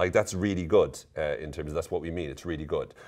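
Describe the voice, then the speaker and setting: Someone with an Irish accent speaks in a playful, upbeat tone in a very clean recording with a silent background. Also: man. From Ireland. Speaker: psychologist and coach. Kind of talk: casual talk to camera.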